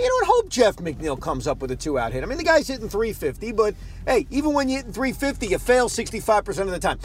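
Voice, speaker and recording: A man speaks fairly quickly with a New York accent amid noticeable background noise. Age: 30s. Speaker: sports radio host. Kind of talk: casual monologue. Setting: in a car.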